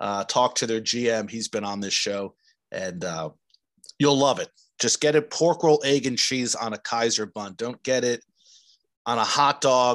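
Against a quiet background, with a dry, close sound and no echo, a man with an American accent and a plain, everyday voice talks at a moderate pace with ordinary pitch variation. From New Jersey. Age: 40s. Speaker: podcast host. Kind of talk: casual interview chat; solo podcast monologue.

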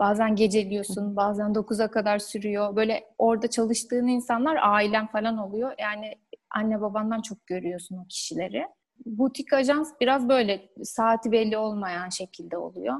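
At a moderate pace, a woman talks in a fairly high voice with ordinary pitch variation, a normal speaking voice. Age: 20s. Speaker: graphic designer. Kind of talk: interview.

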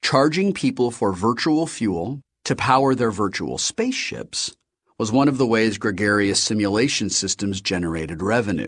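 Against a quiet background, a man with an ordinary speaking voice talks at a moderate pace in a fairly low pitch with lively intonation. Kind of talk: audiobook reading of a novel, first-person narration. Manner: steady, measured storyteller's pace, wry and conversational.

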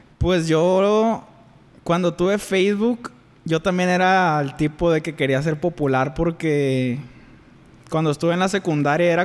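This man's voice sits at a high pitch. He talks at a moderate pace with fairly even intonation. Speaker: podcast co-host. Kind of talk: casual chat.

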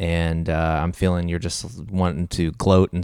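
A man's very deep, low voice with fairly even intonation at a moderate pace, in a very clean recording with a silent background. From US Midwest, Missouri. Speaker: podcast co-host. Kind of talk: casual chat. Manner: halting.

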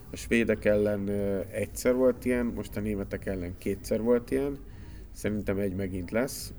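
With music in the background, a man of fairly low pitch speaks at a moderate pace with ordinary pitch variation. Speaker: TV sports journalist. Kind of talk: casual chat. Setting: studio.

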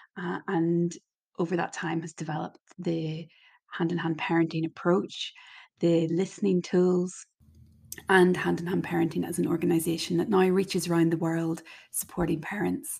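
Dark and mellow in tone, the voice stays monotone and flat at a fairly slow pace. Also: woman. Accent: Irish. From Ireland. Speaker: parenting podcast host and coach.

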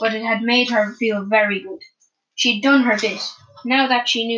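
Over little background sound, someone reads in an unforced voice whose intonation stays fairly even.

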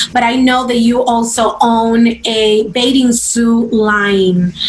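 A woman's high-pitched voice in a Spanish accent over noticeable background noise. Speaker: podcast host. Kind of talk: interview.

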